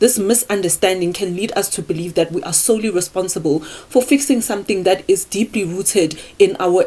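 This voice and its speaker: A woman talks at a moderate pace and a medium pitch. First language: not English. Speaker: self-improvement YouTuber. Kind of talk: casual talk to camera, partly scripted. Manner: halting on words.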